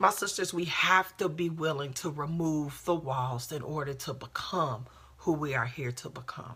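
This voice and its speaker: Woman with a passionate tone and very deep, low pitch at a moderate pace, over noticeable background noise. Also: ordinary pitch variation. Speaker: life coach and motivational speaker. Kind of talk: motivational live talk. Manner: loud.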